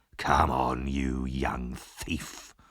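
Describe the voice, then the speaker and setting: Growling in a put-on character voice, a man speaks at a very deep, low pitch with monotone, flat intonation. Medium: read story. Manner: rough, threatening.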